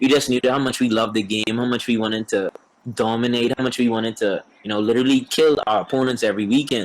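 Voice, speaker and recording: In a Bahamian accent, a man talks at a very fast pace, medium pitch and fairly even intonation. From Bahamas. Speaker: professional baseball player. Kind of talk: casual interview.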